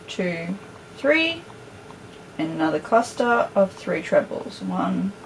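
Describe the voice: Speaking at a slow pace, a woman uses a fairly low pitch. Her pitch makes big swings over faint background noise.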